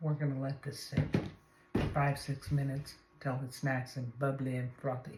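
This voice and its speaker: Soft-spoken female speech at a moderate pace over noticeable background noise. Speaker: home cooking video host. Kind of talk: cooking tutorial. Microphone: no microphone, camera audio.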